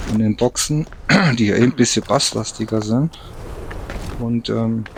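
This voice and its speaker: Noticeable background noise runs under the recording. Through it, a man talks with fairly even intonation. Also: medium pitch for a man, moderate pace. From Rhineland, Germany. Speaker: gaming YouTuber. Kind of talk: let's play commentary. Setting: home recording while gaming. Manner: mumbling, swallows words; relaxed. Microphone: quiet recording, voice fades.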